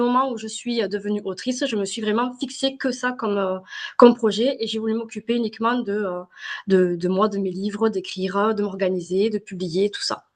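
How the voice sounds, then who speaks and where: This speaker has a southern French accent and talks at a fairly quick pace. The pitch varies in an ordinary way. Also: woman. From southern France. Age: 30s. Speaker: self-published novelist. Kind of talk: podcast interview. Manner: hesitant, many fillers.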